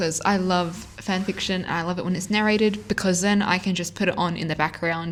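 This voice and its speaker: A woman speaks with a strong Australian accent at a medium pitch. Her pace is fairly quick. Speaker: fanfiction audiobook narrator. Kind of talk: casual chat to viewers. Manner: animated.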